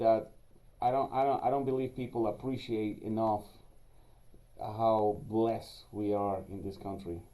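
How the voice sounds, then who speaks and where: Speaking at a fairly slow pace with long, frequent pauses, a man with a Spanish accent has a medium pitch, a dark, mellow tone and fairly even intonation. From Venezuela, then Israel from age 16. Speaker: security company executive. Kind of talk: podcast interview. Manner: hesitant, many fillers.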